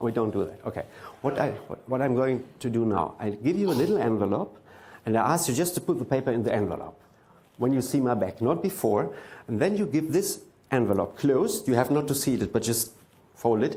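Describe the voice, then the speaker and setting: With a German accent, this voice has a dark, mellow tone, very wide pitch swings and a fairly quick pace, with audible room echo. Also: man, medium pitch for a man. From Germany. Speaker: mentalist. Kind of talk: stage performance. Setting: stage with audience.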